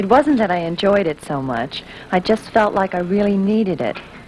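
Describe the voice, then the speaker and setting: At a moderate pace, a woman's pitch swings very widely against noticeable background noise. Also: medium pitch for a woman. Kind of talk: scripted film testimonial.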